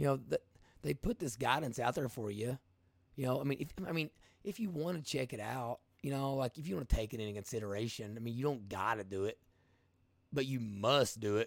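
An energetic man at medium pitch, fairly quick in pace yet with long, frequent pauses, ordinary pitch variation, and a dry, close sound with no echo. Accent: Appalachian. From Appalachia. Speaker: podcast host and livestreamer. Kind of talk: informal, colloquial grammar. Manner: energetic, casual, conversational.

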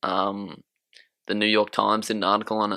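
With an Australian accent, a man speaks at a fairly quick clip in a bright, sharp tone and fairly low pitch, recorded very cleanly over a silent background. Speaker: podcast co-host. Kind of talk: casual chat.

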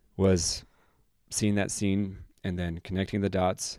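A dark, mellow tone with an American accent and monotone, flat intonation. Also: man. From northern Utah, US. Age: 20s. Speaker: podcast co-host sharing addiction recovery story. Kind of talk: personal testimony in casual chat.

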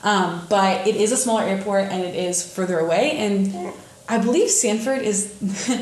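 Ordinary pitch variation in a Midwestern US accent, with noticeable background noise and audible room echo. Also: woman. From northern Indiana. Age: 20s. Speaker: podcast co-host. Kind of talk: casual chat.

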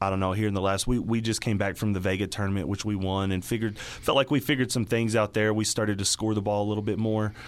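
A man with a Texas accent talks at a very fast pace with hardly any pauses. His fairly low pitch comes with fairly even intonation and very even loudness. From Texas Panhandle, Dumas. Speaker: high school basketball coach. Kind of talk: radio interview. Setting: studio.

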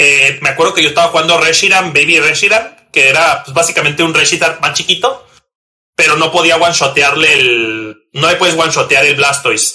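A man's bright, sharp tone comes through at a fairly quick pace. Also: fairly high pitch for a man, ordinary pitch variation. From Mexico, Tijuana, Baja California. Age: 30s. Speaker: competitive Pokémon card player. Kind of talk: casual interview chat. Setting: recording at night.

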